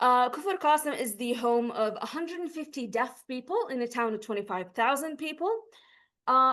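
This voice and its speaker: A high-pitched woman's voice with an Arabic accent, a bright, sharp tone and lively intonation. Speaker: PhD researcher presenting. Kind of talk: academic lecture.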